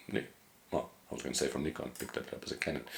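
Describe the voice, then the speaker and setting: A man speaks over noticeable background noise. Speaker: photographer and editing educator. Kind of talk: software tutorial. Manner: fast; casual, hesitant with fillers.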